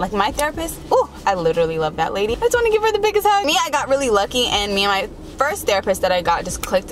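A woman talks at a fast pace with fairly high pitch and big pitch swings, with clear background noise behind her.

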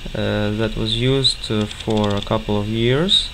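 A man with a non-native accent talks at a fairly slow pace over noticeable background noise. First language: not English. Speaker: hobbyist tech presenter. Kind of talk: tutorial. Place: home room. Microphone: phone near.

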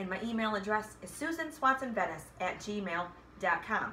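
Against light background noise, a woman speaks with lively intonation. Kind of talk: casual vlog chat. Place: home room. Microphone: phone near.

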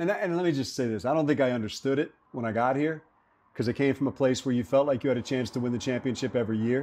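A man rushes along at a very fast pace. His pitch moves in an ordinary way. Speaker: radio play-by-play announcer for a football team. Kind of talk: interview answer. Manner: earnest, reflective. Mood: earnest, passionate. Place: cafe.

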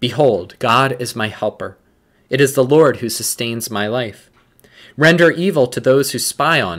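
Against a quiet background, a man speaks at a fairly slow pace in a solemn tone, his intonation lively and his loudness swinging widely. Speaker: prayer leader. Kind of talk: liturgical morning prayer, read aloud with fervent prayer near the end. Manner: formal, measured, reverent; fervent, solemn and earnest in prayer. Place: office. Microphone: webcam.

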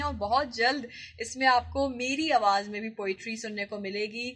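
In an ordinary speaking voice, a woman talks at a fairly high pitch with fairly even intonation and big swings in loudness against a quiet background. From Pakistan. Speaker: radio presenter and voice-over artist. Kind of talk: casual talk to camera. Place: office. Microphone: phone near.

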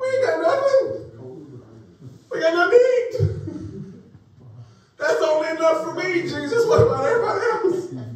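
In a whiny, put-on character voice at an extremely high pitch, a man speaks at a moderate pace amid strong echo. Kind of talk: casual, colloquial. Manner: whiny, voice rising higher.

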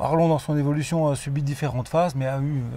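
This man has a fairly high pitch and fairly even intonation. The sound is dry, with no echo. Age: 50s. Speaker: car dealership owner. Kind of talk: interview. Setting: car dealership. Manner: halting, with repeated words. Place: car.

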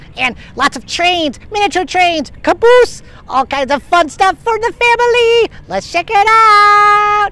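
An upbeat, cartoonish character voice at an extremely high pitch and fairly slow pace, over light background noise. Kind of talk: travel vlog. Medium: puppet. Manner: upbeat, excitable.

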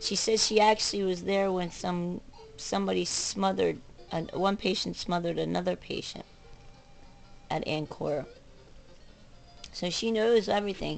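A woman talks at a moderate pace with long, frequent pauses as faint music plays in the background. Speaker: vlogger. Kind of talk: casual vlog rant. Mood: frustrated, agitated. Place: home room. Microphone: webcam.

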